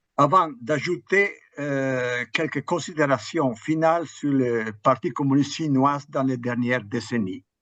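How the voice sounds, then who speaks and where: A man with an Italian accent speaks very slowly at a fairly high pitch and ordinary pitch variation, against a quiet background. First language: Italian (speaking French). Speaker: history professor. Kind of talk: academic lecture. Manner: halting, with hesitations.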